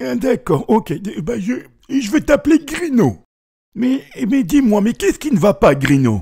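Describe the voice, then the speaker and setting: A man puts on a high-pitched character voice. He moves at a moderate pace with very wide pitch swings. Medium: read story. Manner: warm, stammering.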